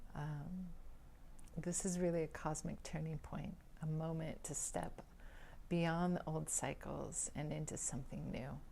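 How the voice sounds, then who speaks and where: A soft-spoken, somewhat breathy voice with a dark, mellow tone, monotone and flat, at a fairly slow pace with long, frequent pauses and audible room echo. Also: woman, very deep, low pitch for a woman. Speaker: vedic astrologer. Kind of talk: spiritual talk to camera. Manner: halting with fillers.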